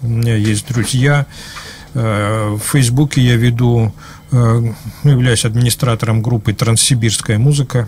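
With light background noise, the voice moves at a fairly slow pace with long, frequent pauses, very even loudness and monotone, flat intonation. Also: man. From Semipalatinsk, Kazakhstan (USSR). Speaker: musician. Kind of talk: casual interview. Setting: studio. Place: studio. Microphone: studio mic.

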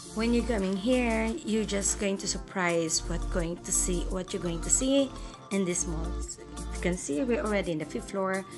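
This woman keeps a moderate pace while clear music plays behind her. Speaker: vlogger giving a mall tour. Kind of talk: casual vlog chat. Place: street. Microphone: phone near.

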